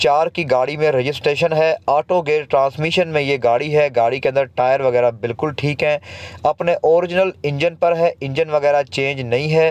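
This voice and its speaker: A man's fairly slow, fairly even delivery in a dry sound with no echo. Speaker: used car dealer reviewer. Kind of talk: car review commentary. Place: street. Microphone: phone near.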